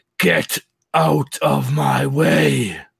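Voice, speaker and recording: A man puts on a character voice that is guttural, raspy and very deep in pitch. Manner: menacing, commanding.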